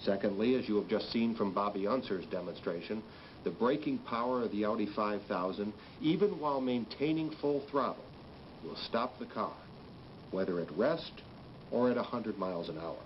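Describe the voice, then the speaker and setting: A man's confident tone at a moderate pace over light background noise. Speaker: company spokesman. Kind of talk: vintage corporate PR film address, scripted company statement. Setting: corporate film, recorded statement to camera. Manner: formal, measured, earnest and reassuring; confident, emphatic on repeated 'that's a fact'. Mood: earnest, reassuring. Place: office.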